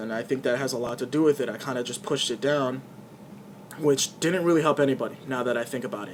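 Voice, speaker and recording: A man races along at a very fast pace in a fairly high voice, with ordinary pitch variation and big swings in loudness. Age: 20s. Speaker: YouTuber vlogger. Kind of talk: personal vlog monologue. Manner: halting, repeats words.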